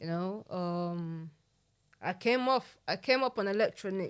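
Speaking at a fairly slow pace in a South London accent, a woman has a medium pitch with ordinary pitch variation. The recording is very clean with a silent background. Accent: South London (multicultural London English). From South East London, Nigerian heritage. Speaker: rapper. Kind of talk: casual chat.

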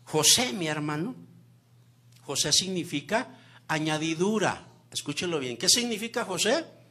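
A man with a high-pitched voice speaks in a bright, sharp tone with lively intonation and long, frequent pauses. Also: fairly slow pace. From Mexico, Zacatecas. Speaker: guest preacher. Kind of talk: sermon. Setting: church with congregation.

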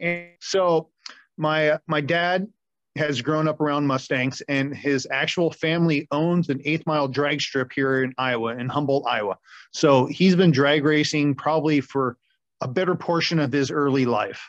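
A man's normal speaking voice, fairly high in pitch, with fairly even intonation and a dry, close sound with no echo. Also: moderate pace, quiet background. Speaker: auto mechanic and drag racer. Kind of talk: casual chat.

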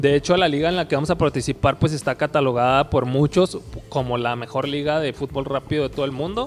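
Delivery is very fast. Intonation remains fairly even throughout. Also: man, fairly high pitch for a man. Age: 30s. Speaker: futsal player. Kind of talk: interview. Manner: halting, many repetitions.

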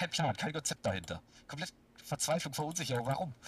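A bright, sharp tone carries speech whose pitch varies in a normal way. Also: man. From Baden-Württemberg, near Stuttgart. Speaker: football fan. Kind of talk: casual chat. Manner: animated.

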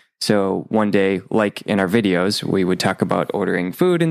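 A man with an American accent and a fairly low pitch, a plain, everyday voice at a fairly quick pace, dry and close with no echo on a very clean recording with a silent background. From Minnesota, US. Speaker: Spanish teaching content creator. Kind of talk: interview.

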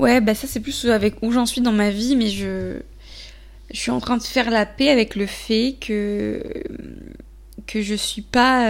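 A woman speaks at a very slow pace. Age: 20s. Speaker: podcaster. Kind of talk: solo monologue. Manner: hesitant, many fillers.

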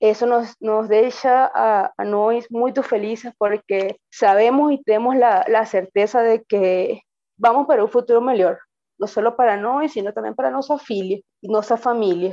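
A fairly high-pitched woman's voice with ordinary pitch variation. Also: moderate pace. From Venezuela. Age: 30s. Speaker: veterinarian, migrant. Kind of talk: personal testimony. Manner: halting, with fillers.

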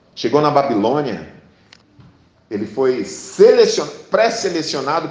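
The speech moves at a fairly slow pace with lively intonation, over noticeable background noise and audible room echo. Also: man. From Brazil, Paraná (Sarandi, near Maringá). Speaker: pastor. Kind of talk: sermon.

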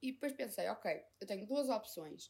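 A woman's ordinary speaking voice, with ordinary pitch variation and a moderate pace. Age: 20s. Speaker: podcaster. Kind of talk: casual monologue.

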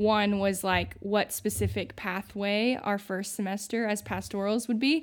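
In an ordinary speaking voice, a woman with an American accent talks at a fairly slow pace and medium pitch, with fairly even intonation, hardly any pauses and a very clean recording with a silent background. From US Midwest, southern Indiana small town. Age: 20s. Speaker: recent Bible college graduate, young ministry worker. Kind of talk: casual interview chat.

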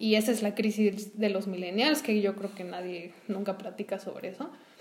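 A woman speaks with a Mexican accent. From Mexico. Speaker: podcast co-host, entrepreneur. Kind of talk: casual conversational podcast.

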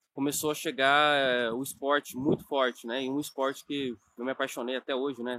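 A man with a fairly high pitch talks at a moderate pace in a normal speaking voice. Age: 20s. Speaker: nutrition coach and online course creator. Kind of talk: online course lesson, personal story. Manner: casual with many fillers.

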